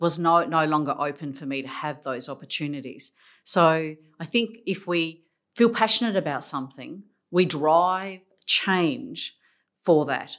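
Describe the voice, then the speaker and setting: With an Australian accent, a woman speaks in a fairly low pitch on a very clean recording with a silent background. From South Australia, from a Macedonian migrant family. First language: Macedonian. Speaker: senior public sector executive. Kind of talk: interview.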